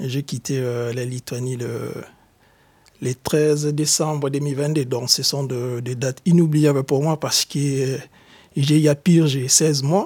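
A man's fairly high, somewhat breathy voice at a very slow pace, with fairly even intonation. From DR Congo. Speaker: exiled activist. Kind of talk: testimony. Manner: halting.

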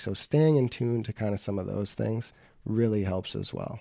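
A man with an American accent speaks with a fairly low pitch and a dark, mellow tone. His pace is fairly quick, in a very clean recording with a silent background. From Wisconsin, US Upper Midwest (Beloit). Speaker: real estate agent. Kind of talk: interview.

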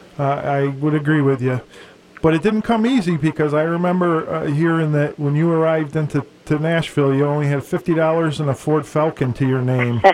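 With an unremarkable speaking voice, a man talks at a fairly quick pace, fairly high in pitch, with ordinary pitch variation and very even loudness. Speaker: radio host. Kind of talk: radio show interview and music playlist.

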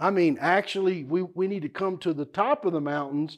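Against a quiet background, a man with a Texan accent talks at a moderate pace, his pitch fairly high with ordinary variation. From South Texas, Houston area. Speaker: investment teacher. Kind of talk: workshop teaching.

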